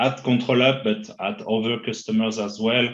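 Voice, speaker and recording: Speaking with a French accent, a man keeps to a medium pitch and shows ordinary pitch variation. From France. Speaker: IT consultant. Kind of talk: interview. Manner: halting, many fillers.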